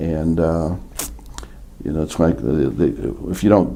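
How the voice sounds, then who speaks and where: A man talks at a moderate pace in a very deep, low pitch. Noticeable background noise runs underneath. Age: 70s. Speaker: chiropractic patient giving testimonial. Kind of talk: testimony. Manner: halting, many fillers.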